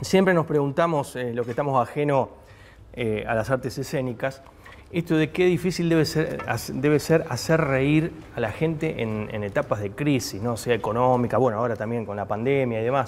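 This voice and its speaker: Light background noise sits behind a man speaking with ordinary pitch variation. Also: moderate pace. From Argentina. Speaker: TV interviewer. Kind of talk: TV interview. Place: bar. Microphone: lapel.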